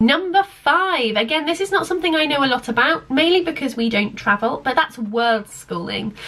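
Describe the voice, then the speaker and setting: Over noticeable background noise, a woman with an English accent speaks at a high pitch with very wide pitch swings. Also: moderate pace. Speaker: home education vlogger. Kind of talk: casual talk to camera. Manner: hesitant with fillers.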